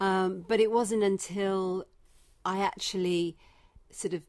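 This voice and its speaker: With a Leicester accent, a woman talks at a medium pitch with fairly even intonation on a very clean recording with a silent background. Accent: English (Leicester), kept. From England, Leicester (Midlands). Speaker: breast cancer survivor and charity founder. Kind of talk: interview. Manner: hesitant, many fillers.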